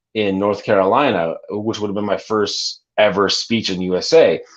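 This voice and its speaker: Speaking in a plain, everyday voice with a Canadian accent, a man talks at a moderate pace with a fairly low pitch and fairly even intonation. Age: 30s. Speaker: gamer, streamer and youth mentor. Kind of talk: podcast interview.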